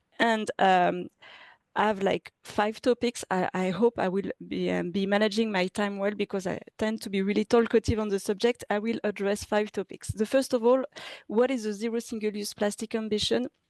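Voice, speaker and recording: A woman with a French accent speaks at medium pitch and a moderate pace, her intonation fairly even. The sound is dry and close with no echo, over a quiet background. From France. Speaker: city government official. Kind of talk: presentation. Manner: halting, many fillers and restarts.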